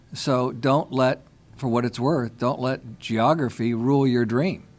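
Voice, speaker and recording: A man with a normal speaking voice talks at a fairly slow pace and a medium pitch. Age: 60s. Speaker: cause marketing consultant. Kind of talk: panel discussion.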